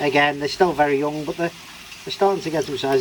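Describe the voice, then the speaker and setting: Someone with an English accent speaks over noticeable background noise. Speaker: koi keeper. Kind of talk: casual video update. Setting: garage. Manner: hesitant, many fillers; loud, shouting over pump.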